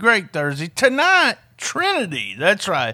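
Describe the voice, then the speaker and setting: Speaking at a fairly slow pace, a man uses a raised, projected voice. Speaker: podcast host. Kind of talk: podcast hosting with bloopers and ad reads.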